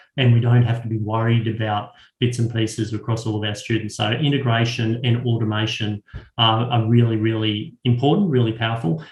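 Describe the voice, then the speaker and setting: Somewhat breathy man at a fairly quick pace in a monotone, flat intonation. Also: medium pitch for a man. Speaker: education consultant. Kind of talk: webinar Q and A. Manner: fast.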